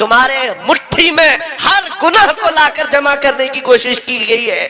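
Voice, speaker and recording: A man's raised, projected voice amid noticeable background noise. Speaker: Islamic preacher. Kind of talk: passionate religious sermon. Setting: public gathering, crowd responding. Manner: fiery, emphatic, oratorical.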